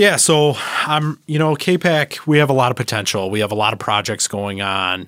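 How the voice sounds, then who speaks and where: In a very clean recording with a silent background, a man with an Upper Midwest accent talks at a moderate pace in a bright, sharp tone. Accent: Upper Midwest American. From Michigan, the Thumb area. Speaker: village manager. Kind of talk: interview. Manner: halting, filler-heavy.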